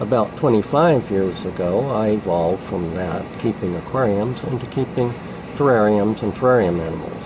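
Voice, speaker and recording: Over noticeable background noise, a man speaks at a moderate pace, with fairly low pitch and ordinary pitch variation. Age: 60s. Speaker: exotic animal hobbyist. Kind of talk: public submission monologue. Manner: halting, many fillers.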